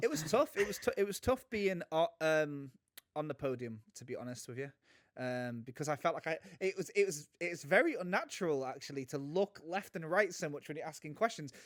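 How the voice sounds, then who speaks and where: In a British accent, a man with a fairly high pitch speaks at a fairly quick pace with lively intonation and a dry, close sound with no echo. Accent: British, similar to the guest's. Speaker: podcast co-host. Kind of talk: casual chat. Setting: remote recording.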